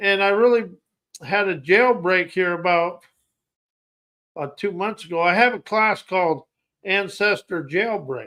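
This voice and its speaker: A man with a high pitch and a bright, sharp tone uses a raised, projected voice with ordinary pitch variation. He moves at a fairly slow pace with long, frequent pauses. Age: 60s. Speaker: podcast host, self-help coach. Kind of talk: motivational monologue. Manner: halting, self-correcting.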